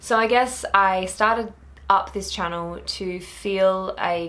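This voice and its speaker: With audible room echo, a woman speaks at a very slow pace in an Australian accent with a bright, sharp tone. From rural Australia. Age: 20s. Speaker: book vlogger. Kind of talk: casual vlog talk.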